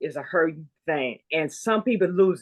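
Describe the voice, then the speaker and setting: A woman with a plain, everyday voice and medium pitch speaks at a fairly slow pace with lively intonation, in a dry, close sound with no echo. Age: 60s. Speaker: guest sharing a grief and trauma story. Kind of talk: testimony in conversation.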